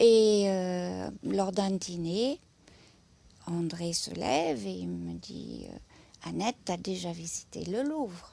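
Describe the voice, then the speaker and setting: In a German accent, a woman speaks on a very clean recording with a silent background. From southern Germany, near Stuttgart. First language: German (speaking French). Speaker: museum lecturer. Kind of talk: interview testimony. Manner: hesitant, many filler sounds.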